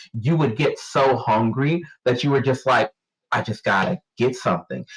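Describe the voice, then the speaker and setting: At a moderate pace, a somewhat breathy man speaks with fairly high pitch and ordinary pitch variation. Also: very even loudness. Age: 30s. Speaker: podcast co-host. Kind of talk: casual chat. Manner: halting.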